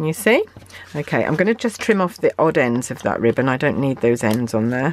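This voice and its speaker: A woman with a British accent. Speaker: craft demonstrator. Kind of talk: tutorial. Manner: hesitant with fillers.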